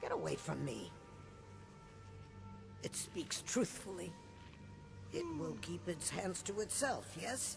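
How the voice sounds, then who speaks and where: Over loud music in the background, a man puts on a character voice of medium pitch, speaking at a fairly slow pace. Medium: video game. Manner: formal, refers to others in third person.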